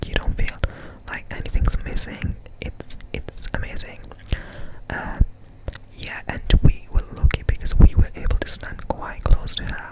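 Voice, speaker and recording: Whispering at a fairly slow pace, a man leaves long, frequent pauses while his loudness swings widely over noticeable background noise. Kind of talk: ASMR up-close whispers, casual talk to camera.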